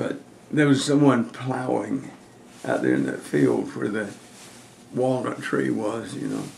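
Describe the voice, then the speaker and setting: A man with an American accent, fairly low in pitch with very wide pitch swings, over noticeable background noise. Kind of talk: casual family reminiscing.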